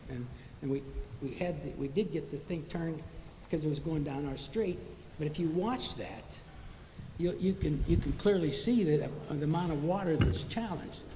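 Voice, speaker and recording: Amid noticeable background noise and audible room echo, a man speaks at a moderate pace in a fairly high pitch with ordinary pitch variation and long, frequent pauses. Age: 80s+. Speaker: resident speaking at public comment. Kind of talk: public comment at city council meeting. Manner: halting.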